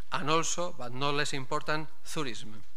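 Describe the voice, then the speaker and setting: The speaker is a man with fairly even intonation. He keeps a moderate pace. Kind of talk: formal welcome speech. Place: hall. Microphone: podium.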